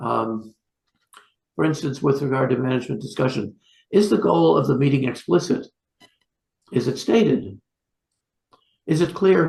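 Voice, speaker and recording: His voice sits at a medium pitch with vocal fry. The man's pitch swings very widely. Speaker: psychiatrist. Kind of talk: lecture. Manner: fast; halting.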